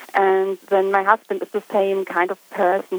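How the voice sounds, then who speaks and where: Over noticeable background noise, a woman speaks with monotone, flat intonation in a dry, close sound with no echo. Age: 40s. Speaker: caller seeking relationship advice. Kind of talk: personal testimony.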